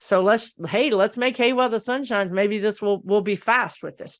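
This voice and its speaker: Over a quiet background, a woman speaks with an American accent in a normal speaking voice. Her pitch sits fairly high and varies in an ordinary way. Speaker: psychic-medium answering political questions. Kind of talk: channeled Q&A monologue.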